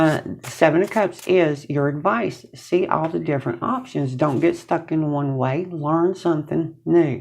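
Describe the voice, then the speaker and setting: The speech moves at a fairly slow pace with hardly any pauses and ordinary pitch variation. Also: woman, very deep, low pitch for a woman. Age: 60s. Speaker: tarot reader. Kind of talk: tarot reading to camera. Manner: casual, conversational.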